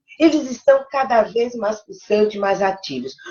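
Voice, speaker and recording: A woman speaks in a normal speaking voice. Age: 60s. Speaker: live show co-host. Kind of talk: live stream talk.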